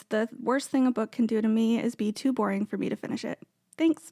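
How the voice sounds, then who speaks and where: A woman's fairly high voice with an American accent, very fast, with ordinary pitch variation, in a dry, close recording with no echo and a silent, very clean background. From US, Maryland. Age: 30s. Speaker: librarian, podcast co-host. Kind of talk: casual self-introduction. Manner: casual with fillers.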